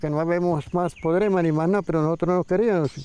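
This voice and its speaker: Talking at a fairly quick pace over noticeable background noise, a man speaks in a high pitch. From Colombia, rural Santander near Barichara. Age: 70s. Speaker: elderly farmer. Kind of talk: documentary interview testimony; casual neighbor chat.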